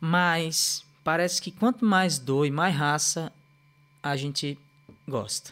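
Speaking at a very slow pace with long, frequent pauses, a man with a fairly high pitch uses ordinary pitch variation. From Recife, Pernambuco, Brazil. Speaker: dancer and musician. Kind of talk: casual chat. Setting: live video stream.

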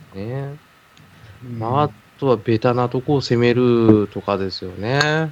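Pausing long and often, a man talks at a moderate pace with ordinary pitch variation and big swings in loudness. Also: medium pitch for a man. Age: middle-aged. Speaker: podcast co-host. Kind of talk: casual chat. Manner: laughing often.

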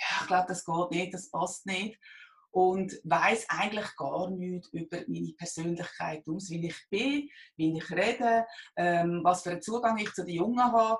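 At a fairly slow pace, a woman talks with a medium pitch and ordinary pitch variation. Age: 50s. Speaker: job seeker. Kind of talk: interview. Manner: halting.

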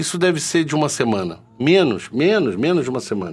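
A normal speaking voice with lively intonation comes through in a very clean recording with a silent background. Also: man. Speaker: vaping channel host. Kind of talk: solo live stream chat. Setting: live stream with chat. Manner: casual, chatty.

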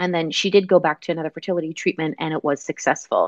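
A woman with a Canadian accent and a plain, everyday voice, fairly low in pitch with ordinary pitch variation, in a dry, close sound with no echo and a quiet background. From Canada. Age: 30s. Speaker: nutrition and fertility wellness practitioner. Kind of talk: interview.

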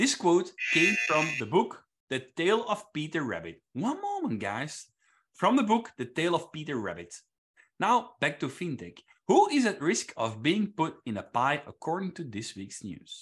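A man with a Flemish accent speaks at a moderate pace and fairly high pitch, using very wide pitch swings and vocal fry, over a quiet background. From Flanders, Belgium. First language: Flemish (Dutch). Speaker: quiz master. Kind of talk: quiz hosting.

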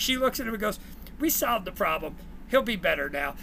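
A man with a New Jersey accent speaks at a fairly quick pace in a raised, projected voice with an extremely high pitch. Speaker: former teacher and coach, ed tech worker. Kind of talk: casual interview chat, storytelling.

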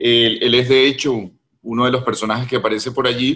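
An unremarkable speaking voice from a man, pitched in the middle and paced moderately. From Venezuela, Caracas. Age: 50s. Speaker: novelist. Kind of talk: interview conversation.

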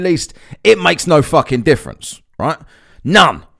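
A man talks with an Essex accent. His tone is animated. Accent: Essex English (southeast England). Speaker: podcast host. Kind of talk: angry, profanity-laced solo rant against mask mandates. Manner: exasperated and scornful, swearing with sarcastic mockery; animated, rambling with repeated words and laughs.

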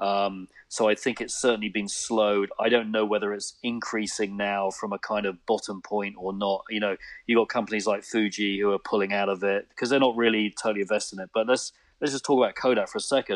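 A man with a British accent, fairly low in pitch, his intonation monotone and flat. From UK. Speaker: photographer. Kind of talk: casual interview.

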